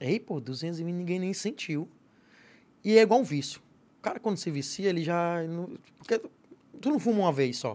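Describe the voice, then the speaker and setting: A man with a high pitch speaks at a moderate pace with lively intonation and long, frequent pauses, on a very clean recording with a silent background. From Piauí, Northeast Brazil. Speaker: comedian. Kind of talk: casual chat.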